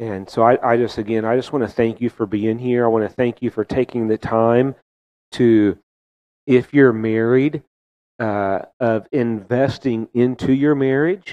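A man with an unremarkable speaking voice talks at a medium pitch. His pace is fairly slow and his intonation fairly even. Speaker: pastor. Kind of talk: sermon.

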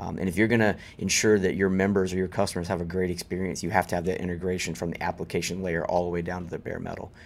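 In an American accent, a man talks at a very fast pace in a very deep, low pitch with monotone, flat intonation. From US South, rural southwestern Virginia. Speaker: IT director at a health services company. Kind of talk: interview. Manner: frequent fillers and repetitions.

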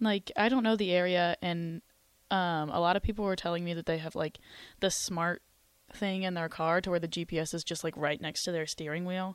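In a very clean recording with a silent background, a woman with a slight Texan accent speaks at a moderate pace in a fairly low pitch with fairly even intonation. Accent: Southern Texan twang, slight. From Texas. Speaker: radio host. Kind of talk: casual radio chat. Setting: studio.

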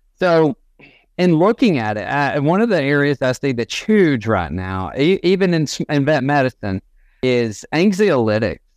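A man's fairly high voice in a Southern US accent, with very wide pitch swings and a dry, close sound with no echo. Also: moderate pace, quiet background. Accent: Southern US (Georgia). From Northwest Georgia, US South. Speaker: veterinarian. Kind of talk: interview, casual technical explanation.

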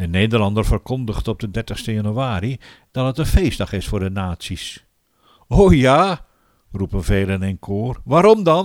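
Here a man with a plain, everyday voice and a fairly low pitch speaks at a fairly slow pace with lively intonation. The recording is very clean, the background silent. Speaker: audiobook narrator. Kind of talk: literary audiobook reading, diary-style first-person narration of wartime forced labour. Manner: earnest, subdued and weary, with flashes of bitter anger.

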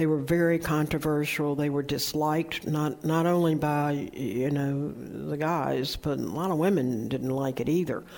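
With a Southern US accent, a woman speaks in a very deep, low pitch at a moderate pace. Her intonation is fairly even, her loudness very even, and she leaves hardly any pauses. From North Carolina. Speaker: search firm founder and chairman. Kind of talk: interview conversation. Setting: stage with live audience.

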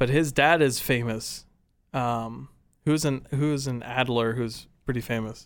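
The recording is very clean, with a silent background, and a man speaks at a medium pitch with fairly even intonation. His pace is fairly slow, an unremarkable speaking voice. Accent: American. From Texas, Dallas area (Farmers Branch). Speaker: radio and video producer. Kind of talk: casual interview.

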